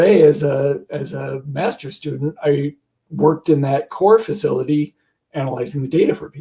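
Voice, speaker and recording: A somewhat breathy, dark, mellow tone at a moderate pace. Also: man. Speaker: biostatistician at research core facility. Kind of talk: panel discussion.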